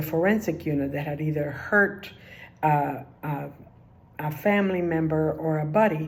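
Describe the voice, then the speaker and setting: A woman with a Spanish accent at a very deep, low pitch, fairly slow in pace with ordinary pitch variation and audible room echo. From Cuba, then New Jersey from age ten. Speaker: retired social work official. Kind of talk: personal career talk. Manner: halting, many filler words.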